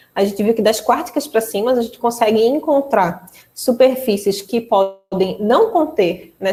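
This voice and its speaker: In an ordinary speaking voice, a woman with a fairly high pitch talks at a fairly slow pace with lively intonation. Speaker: mathematics lecturer. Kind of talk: online lecture.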